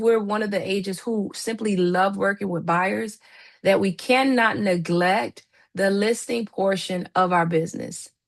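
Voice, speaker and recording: A woman with an American accent and a plain, everyday voice, at a fairly slow pace and medium pitch with ordinary pitch variation, over a quiet background. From Miami, Florida. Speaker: real estate trainer. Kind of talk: live online training.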